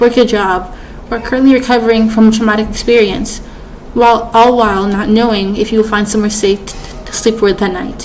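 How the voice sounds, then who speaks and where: A woman talks at a fairly quick pace. Noticeable background noise and audible room echo fill the recording. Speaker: student. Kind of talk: persuasive speech. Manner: halting.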